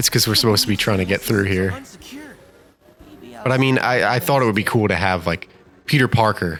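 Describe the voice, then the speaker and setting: A man's fairly low voice with a slight New Jersey accent. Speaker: gaming YouTuber. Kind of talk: let's play commentary. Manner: animated.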